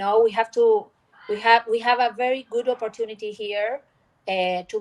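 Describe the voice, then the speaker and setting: The pace here is moderate. A woman talks with a fairly high pitch. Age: 50s. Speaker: legal tech founder, panelist. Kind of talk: panel discussion. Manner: halting.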